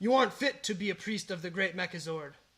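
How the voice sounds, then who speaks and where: Putting on a character voice, a man speaks very fast at a high pitch with ordinary pitch variation. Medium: audio drama. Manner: pompous, menacing.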